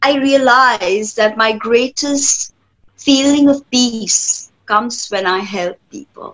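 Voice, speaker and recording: Against a quiet background, a high-pitched woman speaks at a very slow pace, her loudness swinging widely. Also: ordinary pitch variation. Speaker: tarot reader and spiritual healer. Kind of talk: interview answer. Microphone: webcam.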